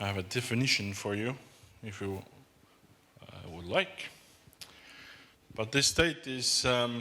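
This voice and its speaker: Bright and sharp in tone, the voice moves at a fairly slow pace with long, frequent pauses and audible room echo. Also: man, medium pitch for a man. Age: middle-aged. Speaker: designer. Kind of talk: conference talk. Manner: halting.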